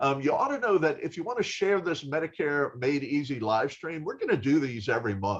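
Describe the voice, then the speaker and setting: Fairly quick and fairly high-pitched for a man, his is an ordinary speaking voice. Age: 60s. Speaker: health insurer live stream host. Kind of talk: live stream interview chat. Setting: Facebook live broadcast. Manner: casual, conversational.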